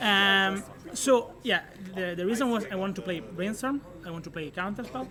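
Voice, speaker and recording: With an Italian accent, a man uses a raised, projected voice at a high pitch, moving at a moderate pace with ordinary pitch variation. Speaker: card game tournament finalist. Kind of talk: casual interview. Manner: halting.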